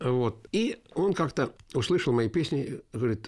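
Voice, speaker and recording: A man with lively intonation and a somewhat breathy voice is heard on a very clean recording with a silent background. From Yelets, Lipetsk region, Russia. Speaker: folk musician and composer. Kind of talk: interview.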